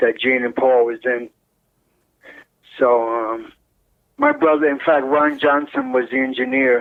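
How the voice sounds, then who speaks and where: Spoken at a fairly slow pace, the voice comes with a New York accent. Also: man. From New York, Brooklyn (Williamsburg). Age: 60s. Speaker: retired butcher, brother of a rock drummer. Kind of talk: interview. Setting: phone call.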